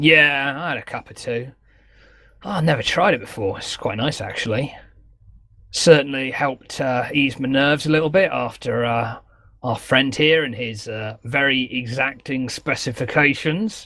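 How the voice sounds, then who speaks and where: Putting on a character voice, a man sounds strained as he speaks at a moderate pace and a medium pitch. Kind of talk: polite, formal. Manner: strained, speaking through gritted teeth.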